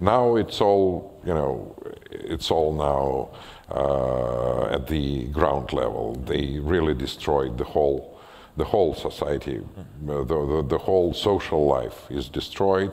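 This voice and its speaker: A man with a Russian accent, very deep and low in pitch, with ordinary pitch variation, at a very slow pace. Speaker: writer and former physician; guest. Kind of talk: public conversation with audience Q&A. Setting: stage with audience. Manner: halting. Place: stage.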